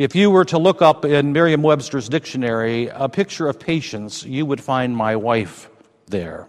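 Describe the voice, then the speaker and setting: Here a man has a normal speaking voice, medium in pitch with lively intonation. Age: 60s. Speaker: pastor. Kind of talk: sermon.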